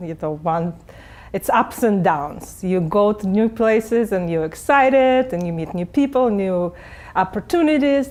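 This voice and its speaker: Speaking at a moderate pace, a woman with a Russian accent uses a medium pitch and ordinary pitch variation. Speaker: real estate agent and coach. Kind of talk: interview. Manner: halting.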